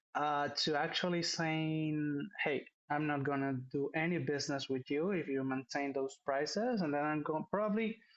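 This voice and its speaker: At a fairly slow pace, a man with a Spanish accent speaks in a fairly high pitch. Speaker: business executive. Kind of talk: interview. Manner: halting, many fillers.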